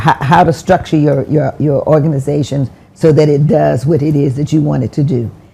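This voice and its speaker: A woman with an American accent, a very deep, low pitch, fairly even intonation and a moderate pace. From US South. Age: 80s+. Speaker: former mayor. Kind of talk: interview. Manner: halting.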